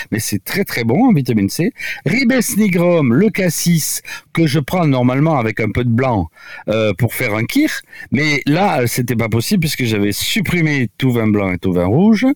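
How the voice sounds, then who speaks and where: Noticeable noise in the background beneath pitch that leaps very widely. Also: man, medium pitch for a man. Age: 70s. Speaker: doctor. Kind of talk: radio interview. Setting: remote from home. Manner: halting.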